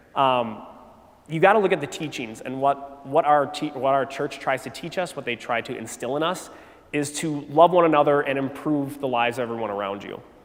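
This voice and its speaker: Against noticeable background noise, a man with an American accent talks at a fairly quick pace, his fairly high voice showing ordinary pitch variation. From Wisconsin, US Midwest. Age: 30s. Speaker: teacher giving a faith talk at a youth retreat. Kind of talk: faith testimony talk to teenagers. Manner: casual, halting with fillers.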